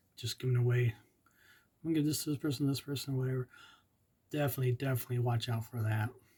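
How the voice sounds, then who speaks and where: A man's dark, mellow, somewhat breathy voice at medium pitch, very fast yet with long, frequent pauses and fairly even intonation. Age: 50s. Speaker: epilepsy vlogger. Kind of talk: informational monologue. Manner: halting.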